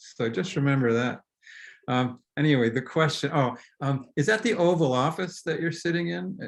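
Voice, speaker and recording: In an ordinary speaking voice, a man with a fairly high pitch talks at a moderate pace over a quiet background. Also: lively intonation. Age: 60s. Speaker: novelist. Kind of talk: casual conversation. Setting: video call.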